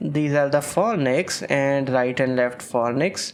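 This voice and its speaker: A man speaks at a fairly slow pace. He has a fairly high pitch and a non-native accent. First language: not English. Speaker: medical lecturer. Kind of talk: lecture. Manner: hesitant, with fillers.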